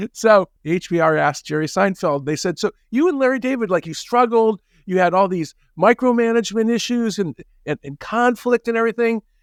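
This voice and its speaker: A high-pitched man at a fairly quick pace, in a dry, close sound with no echo. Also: lively intonation, very clean recording, silent background. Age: 60s. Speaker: management professor and author. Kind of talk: interview conversation. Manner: halting with many repetitions.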